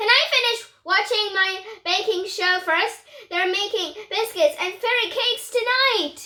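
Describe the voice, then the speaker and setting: A woman puts on a squeaky character voice with an extremely high pitch, talking at a fairly slow pace with hardly any pauses. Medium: read story.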